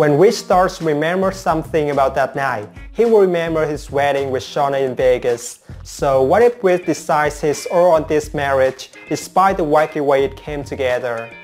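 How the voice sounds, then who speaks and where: A man at a moderate pace with hardly any pauses, ordinary pitch variation and faint music in the background. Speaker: soap opera spoiler channel host. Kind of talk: commentary. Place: home room. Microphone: lapel.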